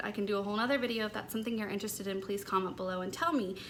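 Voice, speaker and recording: A woman's bright, sharp tone with ordinary pitch variation and audible room echo. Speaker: lifestyle vlogger. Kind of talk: personal vlog talk. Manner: light and airy.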